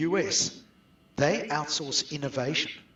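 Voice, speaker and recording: Fairly high-pitched man at a fairly slow pace, with ordinary pitch variation. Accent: South African. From South Africa. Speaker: outsourcing business owner. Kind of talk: webinar interview.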